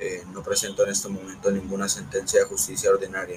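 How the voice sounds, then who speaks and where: A man is speaking. Background noise is noticeable behind him. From Colombia, Antioquia (Puerto Berrío). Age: 50s. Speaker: former paramilitary commander. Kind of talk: testimony. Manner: halting.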